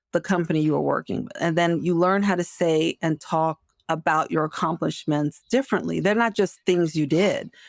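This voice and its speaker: In a very clean recording with a silent background and a dry, close sound with no echo, a woman talks at a moderate pace with hardly any pauses, her fairly low voice carrying vocal fry. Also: ordinary pitch variation. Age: 60s. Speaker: marketing executive and career coach. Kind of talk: interview conversation. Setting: podcast.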